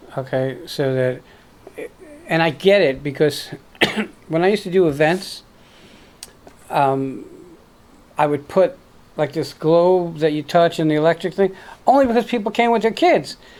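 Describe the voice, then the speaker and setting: A woman's fairly low voice with an American accent, at a moderate pace, with lively intonation and long, frequent pauses. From New York, Brooklyn. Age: 60s. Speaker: interview host. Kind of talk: interview.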